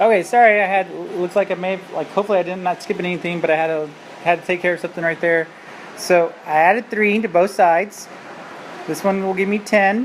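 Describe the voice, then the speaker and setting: A woman speaks at a very fast pace in a medium pitch. Noticeable background noise runs under her voice. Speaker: math teacher. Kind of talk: tutorial. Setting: screencast recording. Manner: animated.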